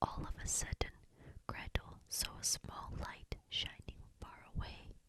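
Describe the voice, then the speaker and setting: Whispering at a very slow pace. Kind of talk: ASMR bedtime story reading. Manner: whispered, soft.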